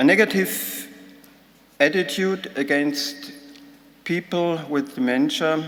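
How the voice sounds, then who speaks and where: A man with a German accent talks very slowly at a fairly high pitch with lively intonation and long, frequent pauses, over noticeable background noise and audible room echo. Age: 60s. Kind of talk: conference talk. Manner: halting.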